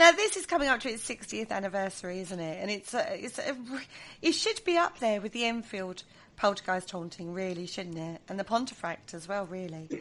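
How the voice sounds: Lively intonation and big swings in loudness mark this fairly quick speech in an Essex accent. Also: woman, medium pitch for a woman.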